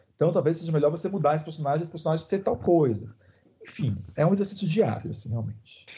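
A man talks at a very fast pace with lively intonation, a fairly high pitch, a dark, mellow tone and vocal fry. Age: 30s. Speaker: screenwriter. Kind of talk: interview.

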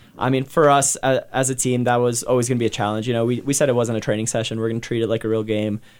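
Speaking at a very fast pace with hardly any pauses, a man with an American accent keeps a medium pitch and a monotone, flat intonation. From New Jersey. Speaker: professional soccer player. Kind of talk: interview. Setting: radio studio.

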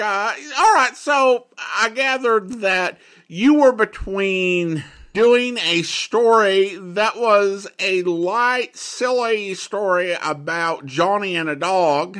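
Very slow and high-pitched, a man with an American accent speaks in a bright, sharp tone in a very clean recording with a silent background. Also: ordinary pitch variation. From Boise, Idaho. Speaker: podcast host. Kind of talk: podcast intro and commentary.

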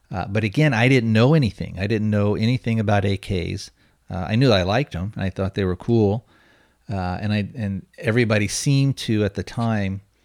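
Recorded dry and close with no echo, a man of fairly low pitch speaks at a moderate pace with ordinary pitch variation in an ordinary speaking voice. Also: very clean recording, silent background. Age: 40s. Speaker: podcast host. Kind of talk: casual chat.

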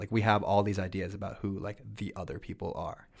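In an American accent, a man with an ordinary speaking voice talks at a moderate pace and a fairly low pitch. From New Jersey, US. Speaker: food writer and TV cooking judge. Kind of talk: interview. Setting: studio.

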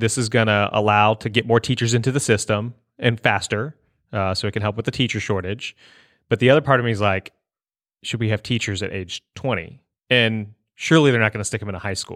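A man with a normal speaking voice talks at a fairly quick pace, fairly low in pitch and fairly even in intonation, in a very clean, dry, close recording with no echo and a silent background. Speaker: podcast host. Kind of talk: casual chat and interview.

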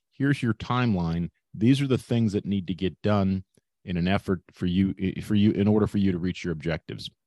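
A man with an American accent speaks fairly quickly at a fairly low pitch, with ordinary pitch variation and a dark, mellow tone. The sound is dry and close with no echo, over a quiet background. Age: 50s. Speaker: business exit-planning advisor. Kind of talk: interview, casual conversation. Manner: hesitant, many fillers (uh).

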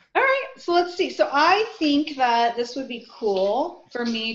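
A woman talks at a fairly slow pace with lively intonation, and audible room echo surrounds her voice. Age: 40s. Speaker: author and women's group leader. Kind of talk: casual chat.

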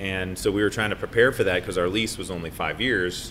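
A fairly low male voice with vocal fry and an American accent. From Colorado, Boulder. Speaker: brewery co-owner. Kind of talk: casual chat.

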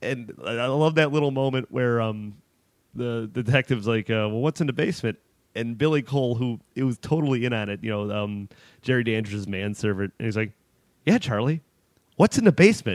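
A man with an American accent and a normal speaking voice at a medium pitch, ordinary pitch variation and a fairly quick pace, in a very clean recording with a silent background. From Chicago, US Midwest. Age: 30s. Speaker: horror film writer. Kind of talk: casual chat.

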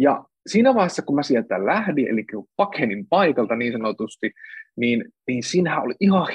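At a moderate pace, a man speaks with a fairly high pitch. His voice has very wide pitch swings. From Central Finland. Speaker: author and speaker. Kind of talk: casual interview conversation. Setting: video livestream. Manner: halting, many fillers.

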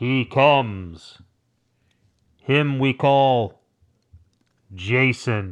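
A man does a put-on character voice at medium pitch, moving at a very slow pace. Long, frequent pauses break up his speech. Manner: grand, ominous.

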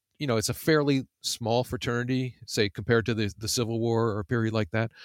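The recording is very clean with a silent background and a dry, close sound with no echo. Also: man. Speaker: journalist and author. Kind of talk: interview. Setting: virtual studio. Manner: halting, many fillers and repetitions.

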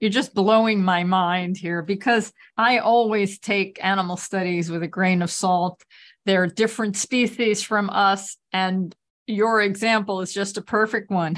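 Against a quiet background, a woman with a normal speaking voice speaks fairly slowly at a medium pitch with fairly even intonation. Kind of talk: casual chat. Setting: video call.

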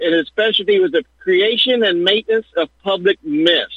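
Using lively intonation, a man with an American accent talks at a moderate pace and high pitch. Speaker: caller. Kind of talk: call-in commentary. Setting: phone call. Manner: jokey, conversational.

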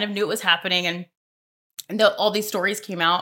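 In a very clean recording with a silent background, a woman talks at a fairly quick pace. She has an American accent, a medium pitch and a bright, sharp tone. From US South, Mobile, Alabama. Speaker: podcast listener sharing personal story. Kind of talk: interview, personal testimony.

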